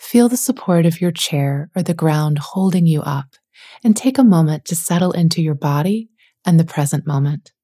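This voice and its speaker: A woman's dark, mellow, somewhat breathy voice with lively intonation at a moderate pace. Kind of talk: guided meditation. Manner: gentle, soft-spoken.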